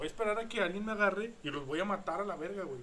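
A man's high-pitched, fairly quick speech. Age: 20s. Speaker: podcast host. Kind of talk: casual chat.

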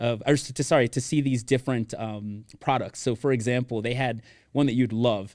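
An ordinary speaking voice from a man with an American accent, medium pitch, fairly quick pace and fairly even intonation. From Miami, Florida. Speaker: event planning professional and former pro soccer player. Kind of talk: casual interview chat.

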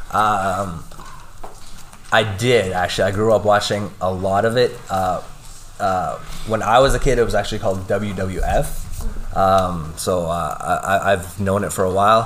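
Fairly low male voice with fairly even intonation at a fairly slow pace, with audible room echo and noticeable background noise. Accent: Canadian. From Lloydminster, Alberta, Canada. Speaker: kickboxing instructor and fighter. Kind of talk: interview with students. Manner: hesitant, many fillers.

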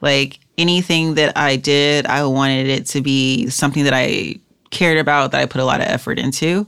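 A woman talks at a fairly quick pace in an American accent, her pitch very deep and low with ordinary variation. The recording is very clean, with a silent background. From South Central Los Angeles, US. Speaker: UX designer. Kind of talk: interview. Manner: halting, filler-heavy.

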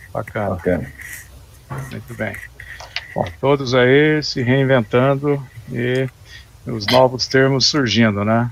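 At a very slow pace with long, frequent pauses, the speech shows ordinary pitch variation amid noticeable background noise. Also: man, medium pitch for a man. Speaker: live stream host. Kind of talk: moderated panel discussion.

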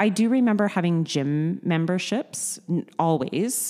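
A woman with a Canadian accent, a dark, mellow tone and lively intonation, in a very clean recording with a silent background. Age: 40s. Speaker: gym member. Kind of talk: interview. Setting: studio.

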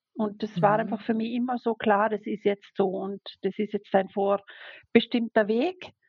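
A woman's fairly high, somewhat breathy voice at a fairly slow pace, with fairly even intonation. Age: 40s. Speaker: sign language interpreter. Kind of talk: personal testimony interview. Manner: hesitant, many fillers.

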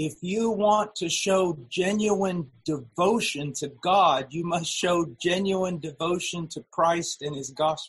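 A man's high voice at a very slow pace with hardly any pauses and ordinary pitch variation. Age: 50s. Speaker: preacher. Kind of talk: sermon. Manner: halting.

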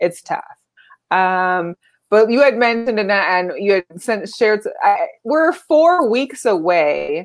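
In an American accent, a woman talks at a very slow pace. Her pitch is fairly high and swings very widely. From Las Vegas, Nevada. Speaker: sports podcast co-host. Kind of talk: casual chat. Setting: live stream.

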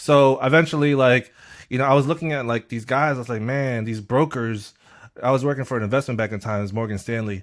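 A man speaks in a plain, everyday voice. His pitch sits in the medium range and varies in an ordinary way. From Queens, New York (born in the Philippines, moved at four). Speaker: music marketing executive. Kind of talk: interview conversation.

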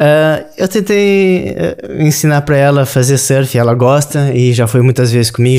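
Medium-pitched man, ordinary speaking voice, fairly slow pace. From southern Brazil, Rio Grande do Sul. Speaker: sushi chef. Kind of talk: interview conversation.

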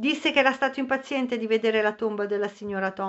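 Reading aloud in a natural voice. The pitch variation is ordinary.

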